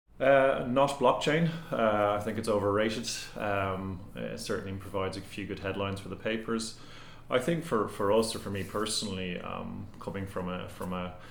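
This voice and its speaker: Speaking with an Irish accent, a man with a fairly low pitch keeps a moderate pace and ordinary pitch variation while audible room echo surrounds him. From Ireland. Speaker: tech company CEO. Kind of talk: interview. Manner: hesitant with frequent repetitions.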